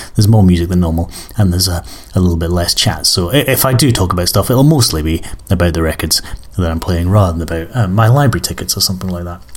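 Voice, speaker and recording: Over noticeable background noise, a man with an Edinburgh accent talks very fast in a very deep, low pitch with ordinary pitch variation. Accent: Scottish (Edinburgh). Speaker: music podcast host. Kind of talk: casual chat. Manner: hesitant with many fillers.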